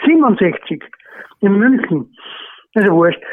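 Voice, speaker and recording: With an Austrian accent, a man speaks in a high pitch with lively intonation. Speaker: retired horse racing trainer. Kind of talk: surprise phone greeting. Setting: phone call. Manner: halting.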